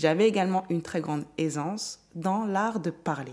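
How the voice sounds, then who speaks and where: A woman speaks at a moderate pace. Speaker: podcast host, mindset coach. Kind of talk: solo motivational monologue. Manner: improvised, conversational.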